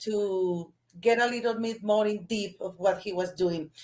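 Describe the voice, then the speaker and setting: A woman speaks with a Spanish accent at a medium pitch. Her tone is dark and mellow. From Colombia. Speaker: sports journalist. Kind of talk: interview. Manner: halting.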